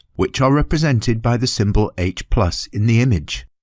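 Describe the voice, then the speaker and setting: A somewhat breathy voice at a fairly quick pace. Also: man. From United Kingdom. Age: middle-aged. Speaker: voice actor. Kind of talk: educational e-learning narration.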